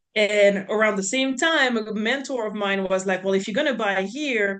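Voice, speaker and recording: In a French accent, a woman speaks at a moderate pace with ordinary pitch variation. Her pitch is medium, and the background is quiet. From France, near Swiss border. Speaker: real estate investor. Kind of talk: podcast interview.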